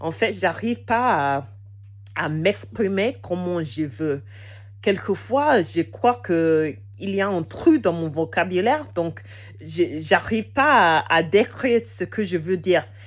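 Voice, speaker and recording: At a very slow pace, a woman with a fairly low pitch and vocal fry makes very wide pitch swings. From England. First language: English (speaking French). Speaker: language learner vlogger. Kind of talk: casual unscripted monologue. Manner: halting, many hesitations.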